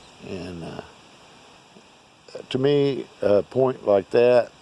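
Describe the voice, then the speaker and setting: Over noticeable background noise, a man with an American accent speaks at a very slow pace. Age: 60s. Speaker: artifact collector. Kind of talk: casual video monologue. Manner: casual, halting with fillers.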